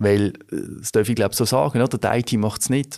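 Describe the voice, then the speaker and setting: In an ordinary speaking voice, a man talks at a moderate pace and fairly low pitch on a very clean recording with a silent background. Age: 40s. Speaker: business consultant. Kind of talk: interview. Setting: studio.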